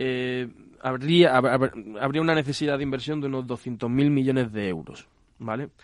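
A man speaks at a fairly slow pace, his pitch in the medium range. He has a plain, everyday voice with ordinary pitch variation. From Andalusia, Spain. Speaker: civil engineer at a water industry association. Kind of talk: radio interview.

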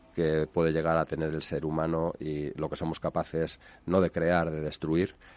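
This man's voice is very deep and low, delivered in a flat monotone at a fairly slow pace. The background is quiet. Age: 60s. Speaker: real estate developer. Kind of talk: interview. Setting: radio studio. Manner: hesitant with repetitions.

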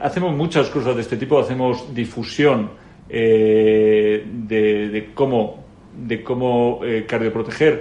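A man with a medium pitch speaks with fairly even intonation. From Spain, Madrid. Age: 40s. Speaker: company CEO. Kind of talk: interview. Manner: halting, frequent repetitions.

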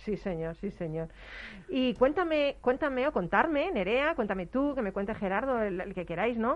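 At a moderate speed, a woman talks with a fairly high pitch that swings very widely. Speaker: radio host. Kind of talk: casual chat. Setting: studio. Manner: animated.

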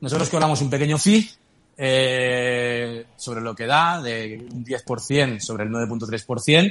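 Big swings in loudness mark this man's very slow speech. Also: medium pitch for a man, ordinary pitch variation. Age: 40s. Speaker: crypto startup CEO. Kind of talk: interview.

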